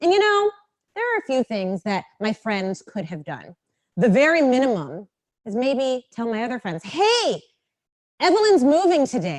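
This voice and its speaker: A woman with an American accent talks at a moderate pace, her high pitch moving through very wide swings. Her tone is animated, and the sound is dry and close with no echo. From US, Los Angeles. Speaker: diversity consultant and speaker. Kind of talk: talk to a live audience. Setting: stage with audience. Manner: animated, engaging with audience.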